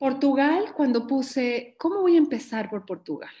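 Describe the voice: A woman's fairly slow, slightly mellow voice with ordinary pitch variation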